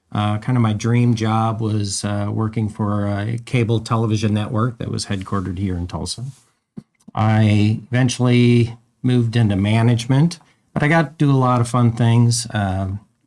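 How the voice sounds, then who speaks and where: With a slight Minnesota accent, a man speaks at a moderate pace in a medium pitch, his intonation fairly even. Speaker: event organizer. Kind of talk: podcast interview.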